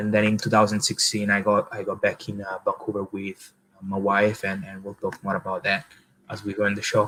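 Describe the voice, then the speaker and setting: A man with an Italian accent speaks at a fairly quick pace in a fairly low pitch. His tone is bright and sharp, and his intonation stays monotone and flat. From Italy, village southeast of Rome. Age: 20s. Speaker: marketing agency founder, former pizza chef. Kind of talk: interview. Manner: halting, many fillers.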